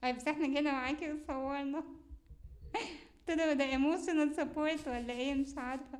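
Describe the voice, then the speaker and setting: Her pitch is high and her intonation fairly even as this woman speaks at a moderate pace. Audible room echo is present. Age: young. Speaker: university student and show host. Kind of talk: casual interview chat.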